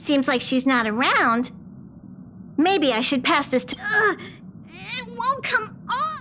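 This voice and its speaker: A put-on character voice, female-sounding and high-pitched, at a fairly slow pace with long, frequent pauses and clear background noise. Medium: machinima. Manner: fussy, refers to itself in third person.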